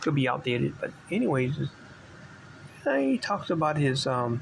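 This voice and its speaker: There is noticeable background noise behind this man. His pitch moves with ordinary variation. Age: 60s. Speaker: vintage bike collector. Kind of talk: casual show-and-tell video. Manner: halting, many fillers.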